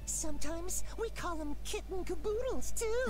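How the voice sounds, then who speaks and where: Background noise comes through clearly. The speaker performs a put-on character voice. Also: female-sounding voice, moderate pace. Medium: video game. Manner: cute, cat puns.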